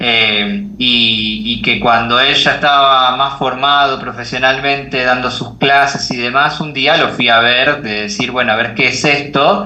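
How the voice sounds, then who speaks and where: In a room with audible echo and noticeable background noise, a man with an Argentine accent speaks at a fairly slow pace and medium pitch, with ordinary pitch variation. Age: 20s. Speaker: life coach. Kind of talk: podcast interview.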